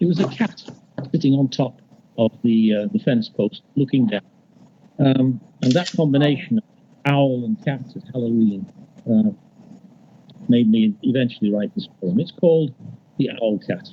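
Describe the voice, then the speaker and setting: Somewhat breathy and fairly high in pitch, a man talks at a moderate pace with very wide pitch swings and long, frequent pauses. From northern England, Liverpool. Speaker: poet. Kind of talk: poetry reading with storytelling intro. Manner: halting, with many fillers.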